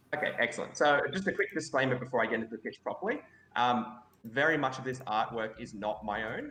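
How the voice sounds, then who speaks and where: With an Australian accent, a man talks at a very fast pace. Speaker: game designer. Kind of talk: pitch presentation. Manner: loud.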